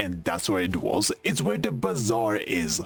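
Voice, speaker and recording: Noticeable background noise is present while a man talks. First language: not English. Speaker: streamer. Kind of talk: casual gaming stream chat. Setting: live stream. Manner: stutters when tired.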